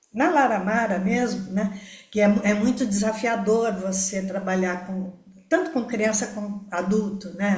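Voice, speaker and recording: In a room with audible echo, a woman speaks at a medium pitch with fairly even intonation. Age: 70s. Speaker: participant in a study group. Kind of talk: testimony. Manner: halting, many fillers.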